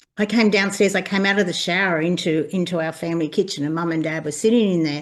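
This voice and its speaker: A woman talks in an Australian accent at a fairly low pitch with ordinary pitch variation. The background is quiet. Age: 60s. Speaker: birth mother sharing lived experience. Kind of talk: personal testimony in conversation.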